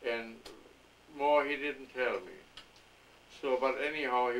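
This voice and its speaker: At a moderate pace, a man talks in a monotone, flat way with medium pitch. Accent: German. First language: German. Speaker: grandfather interviewed by family. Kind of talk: family oral history interview. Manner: halting.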